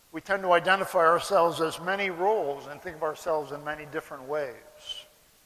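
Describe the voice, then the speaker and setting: Against noticeable background noise, a man with an American accent speaks at a high pitch with ordinary pitch variation. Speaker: philosophy lecturer and animal rights activist. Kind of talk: public lecture. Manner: slow, deliberate for non-native audience.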